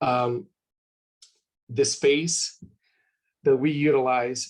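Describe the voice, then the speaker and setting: A man with a Spanish accent. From Mexico, Jalisco. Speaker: university representative. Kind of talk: webinar presentation. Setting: video call. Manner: animated.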